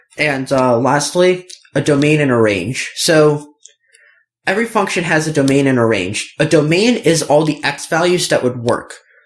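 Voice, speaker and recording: Here is a normal speaking voice. Its intonation rises and falls in a lively way. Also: man. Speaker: math tutor. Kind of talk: tutorial. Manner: casual with fillers.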